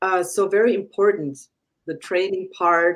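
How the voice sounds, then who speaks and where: With a non-native accent, a woman of medium pitch speaks at a very slow pace. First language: not English. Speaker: food safety expert guest. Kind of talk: casual panel discussion.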